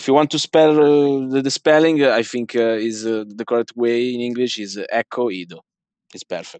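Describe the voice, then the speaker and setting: A man speaks at a medium pitch and a moderate pace, with ordinary pitch variation and big swings in loudness. The sound is dry and close with no echo, against a quiet background. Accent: Italian. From Italy. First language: Italian. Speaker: card game tournament winner. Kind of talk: interview. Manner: halting.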